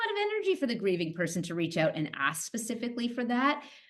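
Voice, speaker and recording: The voice is loud and very fast, with very wide pitch swings over noticeable background noise. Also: woman. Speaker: psychotherapist and nurse. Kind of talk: interview conversation.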